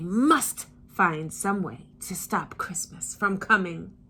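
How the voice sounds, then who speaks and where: A female-sounding voice growls in a put-on character voice at a medium pitch for a woman and a fairly slow pace. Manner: growling, sneering.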